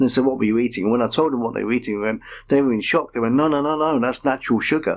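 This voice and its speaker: A man with a Manchester accent speaks at a medium pitch and a very fast pace, his intonation fairly even. The recording is very clean, with a silent background. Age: 50s. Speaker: patient. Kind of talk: radio interview.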